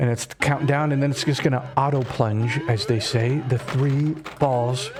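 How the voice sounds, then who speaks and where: Against noticeable background noise, a man with a fairly high pitch speaks at a fairly slow pace with ordinary pitch variation. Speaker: streamer. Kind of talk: live gameplay commentary. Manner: animated.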